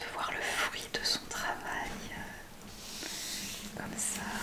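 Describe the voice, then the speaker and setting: Whispering from a woman at a very slow pace, with noticeable background noise. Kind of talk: ASMR unboxing talk to camera. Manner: whispered, soft-spoken.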